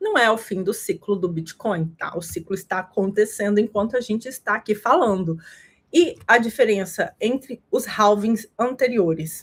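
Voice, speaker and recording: Its pitch moves in an ordinary way. There is a somewhat breathy quality to the voice. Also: woman, fairly high pitch for a woman, moderate pace. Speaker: crypto market analyst. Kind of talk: livestream market analysis. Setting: live stream.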